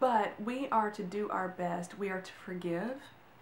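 A woman speaks over light background noise, with audible echo in the room. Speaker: vlogger giving a devotional. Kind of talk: casual devotional talk. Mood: earnest, animated. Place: home room. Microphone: camera far.

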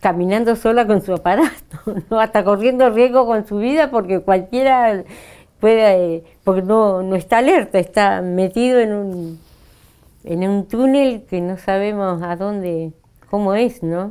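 Speaking fairly slowly against a quiet background, a woman has a dark, mellow tone, medium pitch and ordinary pitch variation. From Argentina, Río Negro (General Roca); Río Negro, Argentina. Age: 60s. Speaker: Mapuche actress and cultural worker; Mapuche actress. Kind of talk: interview. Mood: warm, reflective. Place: studio. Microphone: lapel.

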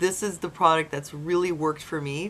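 The speaker has an ordinary speaking voice, ordinary pitch variation and a fairly quick pace. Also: woman. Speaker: vlogger. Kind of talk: casual vlog chat. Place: home room. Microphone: webcam.

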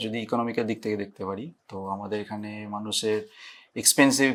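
In a very clean recording with a silent background, a man speaks at a medium pitch in a normal speaking voice, his intonation fairly even. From West Bengal, India (Hooghly). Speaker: pharmacy professor. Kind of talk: interview.

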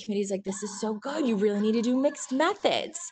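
A woman's fairly high voice at a fairly quick pace, over light background noise. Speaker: university administrator, PhD graduate. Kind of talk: panel Q&A. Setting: video call. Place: home room. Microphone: video call.

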